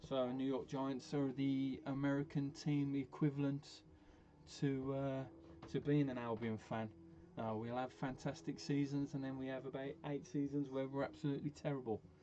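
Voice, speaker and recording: A man with a Birmingham accent speaks at a moderate pace. His tone is dark and mellow, and his pitch is fairly high. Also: ordinary pitch variation. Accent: broad Brummie. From Birmingham, England. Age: 40s. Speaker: gaming streamer. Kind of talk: casual chat. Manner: halting.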